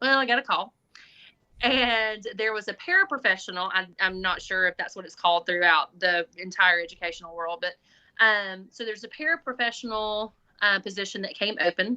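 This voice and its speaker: A woman talks fairly quickly in a Southern US accent, her medium pitch showing ordinary variation. Her bright, sharp tone swings a lot in loudness against a quiet background. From Alabama. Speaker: school administrator, former special education teacher. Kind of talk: podcast interview.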